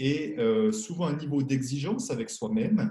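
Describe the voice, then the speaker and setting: A man speaks at a fairly slow pace in a fairly high pitch, with very wide pitch swings. His voice is somewhat breathy, with a dark, mellow tone. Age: 60s. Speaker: money coach and author. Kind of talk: interview.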